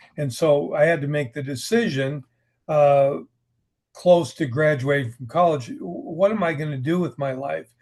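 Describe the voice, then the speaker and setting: A man with an American accent speaks at a fairly slow pace. His voice is somewhat breathy and fairly high, with ordinary pitch variation. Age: 70s. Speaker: writer. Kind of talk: interview. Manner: conversational, hesitant repetitions.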